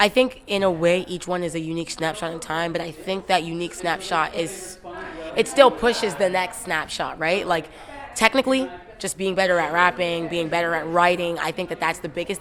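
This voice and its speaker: Through noticeable background noise, a woman talks at a fairly quick pace, her fairly low pitch showing ordinary variation. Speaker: rapper. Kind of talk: interview. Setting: music awards gala. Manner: halting.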